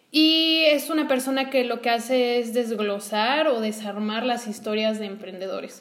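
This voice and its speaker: Over noticeable background noise, a woman with a Mexican accent speaks at a fairly high pitch and a fairly slow pace with ordinary pitch variation and hardly any pauses. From Mexico. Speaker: podcast co-host, entrepreneur. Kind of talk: casual conversational podcast.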